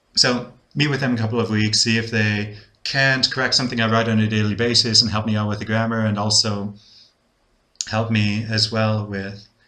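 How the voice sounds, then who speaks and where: Room echo is audible as a man speaks in a flat monotone at a moderate pace. His fairly low voice has a bright, sharp tone. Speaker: English-speaking teacher learning Spanish, video blogger. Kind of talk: casual video diary. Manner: hesitant, many fillers and repetitions.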